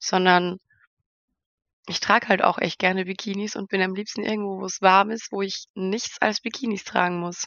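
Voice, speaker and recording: A woman's medium-pitched voice in a monotone, flat delivery. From Austria, near Vienna. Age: 20s. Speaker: model and reality TV participant. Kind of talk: interview.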